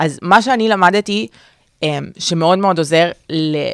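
A woman with an ordinary speaking voice, fairly low in pitch with ordinary variation, comes through as a dry, close sound with no echo on a very clean recording with a silent background. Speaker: podcast co-host, marketing worker and student. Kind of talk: casual chat.

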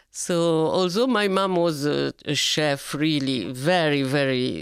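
A woman's very deep, low voice at a very slow pace, with ordinary pitch variation, on a very clean recording with a silent background. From Lebanon, Sidon. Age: 80s+. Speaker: grandmother. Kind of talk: interview. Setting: studio. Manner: halting.

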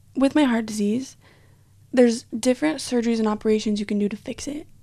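A woman speaks with a Western US accent in a high pitch and a dark, mellow tone. Her pitch variation is ordinary. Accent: American (Western US). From Utah. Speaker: university student. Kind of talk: casual interview.

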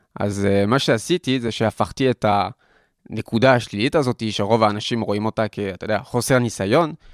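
A man with a French accent talks at a moderate pace, his pitch fairly low with ordinary variation. The recording is very clean and silent behind him, dry and close with no echo. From France (Paris). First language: French (speaking Hebrew). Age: 20s. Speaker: student entrepreneur, nonprofit CEO. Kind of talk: interview conversation. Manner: hesitant, many fillers.

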